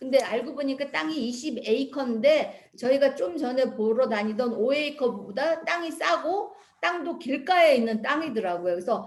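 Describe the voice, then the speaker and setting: A woman with a high-pitched voice talks at a moderate pace with lively intonation and hardly any pauses. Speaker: missionary. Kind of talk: mission report presentation with slides. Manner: conversational, with fillers.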